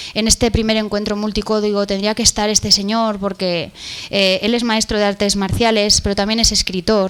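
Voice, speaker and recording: Noticeable background noise sits under a woman speaking with a Spanish accent at medium pitch and monotone, flat intonation. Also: moderate pace. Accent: Peninsular Spanish. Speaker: event moderator. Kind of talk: conference interview. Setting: stage with audience.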